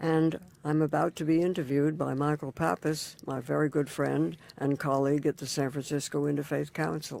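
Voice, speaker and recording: With a dark, mellow tone, a woman speaks at a fairly quick pace in a very deep, low pitch and fairly even intonation. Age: 90s. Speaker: interfaith community leader. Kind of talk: oral history interview. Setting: recording booth in a library.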